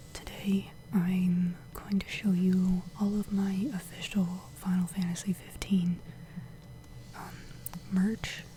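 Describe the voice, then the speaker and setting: Soft-spoken whispering comes through over noticeable background noise. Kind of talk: ASMR show and tell, soft spoken.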